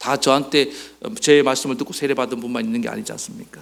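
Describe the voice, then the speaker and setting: His voice leaps up and down across a very wide range. The speaker is a man. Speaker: pastor. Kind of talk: sermon. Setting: church service recorded for online viewing. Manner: conversational, addresses congregation with questions.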